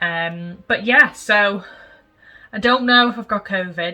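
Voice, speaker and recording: A woman with an American accent at a fairly high pitch, fairly slow pace, lively intonation and a bright, sharp tone. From England, Liverpool area. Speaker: homestead vlogger. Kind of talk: casual vlog chat and tutorial.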